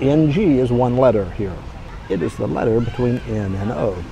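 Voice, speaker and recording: With an American accent and lively intonation, a man speaks at medium pitch in a dry sound with no echo, over noticeable background noise. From Texas, USA. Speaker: expat vlogger. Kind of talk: casual talk to camera. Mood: amused, relaxed. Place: street. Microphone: phone near.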